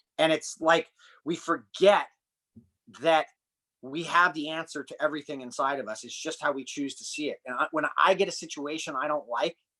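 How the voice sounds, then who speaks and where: A man with an American accent and a fairly high pitch speaks at a moderate pace in a bright, sharp tone, with ordinary pitch variation, big swings in loudness, and a dry, close sound with no echo. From United States. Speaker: human performance and breathing coach. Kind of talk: podcast interview conversation.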